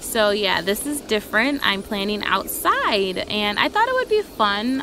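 Over music in the background, a woman speaks at a fairly slow pace in a dry sound with no echo. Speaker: planner hobby vlogger. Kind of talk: casual vlog chat. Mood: relaxed, cheerful, giggly. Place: garden. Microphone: phone near.

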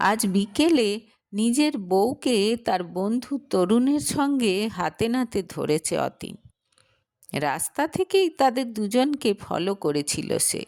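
At a slow pace, a woman speaks at medium pitch with a slightly mellow tone and big pitch swings.

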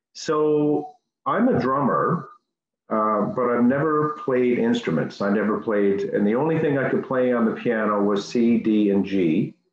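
Very wide pitch swings mark this fairly slow speech, heard with audible room echo. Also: man, medium pitch for a man, very even loudness. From Newfoundland, Canada. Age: 50s. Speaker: piano student; interviewee. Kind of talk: interview. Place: home room. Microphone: video call.

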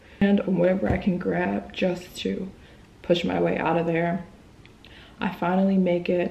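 A woman with a fairly low pitch and a dark, mellow tone speaks with vocal fry. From US, moved around. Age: 20s. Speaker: travel vlogger; vlogger. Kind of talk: storytelling vlog; storytime vlog chat. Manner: animated. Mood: serious, recounting frightening event. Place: home room. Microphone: phone near.

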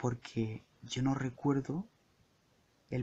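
A man talks in a relaxed way at a medium pitch, his tone dark, mellow and somewhat breathy. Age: 20s. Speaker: podcaster and entertainment journalist. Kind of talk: solo improvised monologue. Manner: relaxed, intimate; halting, frequent word repetitions.

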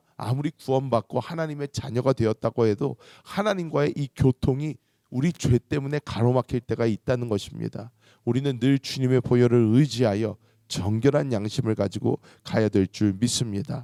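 A man speaks at a medium pitch and a moderate pace, with a dark, mellow tone and ordinary pitch variation. The sound is dry and close with no echo, on a very clean recording with a silent background. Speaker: pastor. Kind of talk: sermon; fervent prayer. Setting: church. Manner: earnest, pleading.

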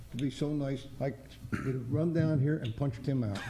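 A man speaks at a moderate pace with fairly even intonation and a fairly high pitch. His tone is dark and mellow, somewhat breathy. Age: 80s+. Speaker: resident speaking at public comment. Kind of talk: public comment at a town meeting. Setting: township board meeting room.

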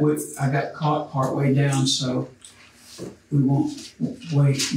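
A man talks at a fairly slow pace in a fairly high pitch, with light background noise and audible room echo. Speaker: Bible study teacher. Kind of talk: Bible study lecture. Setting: church. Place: classroom. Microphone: camera far.

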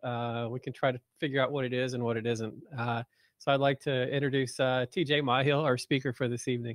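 Over a quiet background, a man talks at a fairly quick pace in a monotone, flat intonation. The sound is dry, with no echo. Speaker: nonprofit director and moderator. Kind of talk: moderating a talk. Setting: video call. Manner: hesitant, filler-heavy. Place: home room. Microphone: video call.

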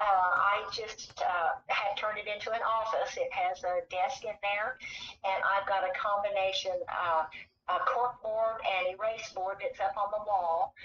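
An ordinary speaking voice from a woman with an American accent, ordinary pitch variation, and light background noise. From Oregon (Salem), then Missouri from age 16; Oregon. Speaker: author, retired nurse; interviewee. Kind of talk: interview. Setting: phone call. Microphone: phone line, some echo; phone line.

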